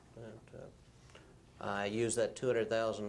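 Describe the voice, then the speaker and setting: Audible room echo surrounds a man speaking with monotone, flat intonation. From Arkansas, rural. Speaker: former automotive engineer. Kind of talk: deposition testimony. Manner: halting, many fillers.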